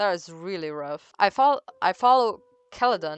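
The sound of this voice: Lively intonation in an unforced reading voice.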